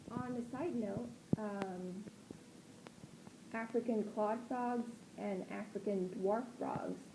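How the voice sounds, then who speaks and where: A woman at a fairly high pitch, fairly even in intonation, over noticeable background noise. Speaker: pet frog keeper. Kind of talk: casual voice-over commentary. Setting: home recording, sometimes muffled mic.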